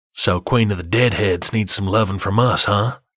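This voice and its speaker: Putting on a character voice, a man speaks at a fairly low pitch with fairly even intonation and very even loudness. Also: moderate pace. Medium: read story.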